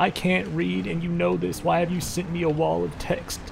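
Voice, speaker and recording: A man at a moderate pace over clear background noise. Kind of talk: deadpan comic roleplay.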